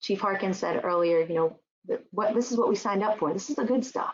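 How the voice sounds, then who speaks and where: This is a woman's voice. Its pitch is medium. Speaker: symposium presenter on trauma and wellness. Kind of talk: webinar presentation. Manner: fast.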